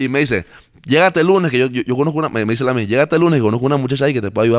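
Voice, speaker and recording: A man rattles along at a very fast pace. His medium-pitched voice has lively intonation. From Panama. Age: 30s. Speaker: singer-songwriter. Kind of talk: interview. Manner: halting, repeats words.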